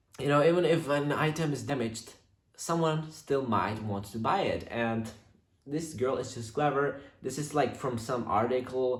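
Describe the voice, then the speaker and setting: Audible room echo surrounds a man who speaks at a fairly slow pace with a non-native accent, lively intonation and a somewhat breathy voice. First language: not English. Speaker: YouTuber reading viewer stories. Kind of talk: reading aloud with casual commentary. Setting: on camera, home recording. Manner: halting, many fillers.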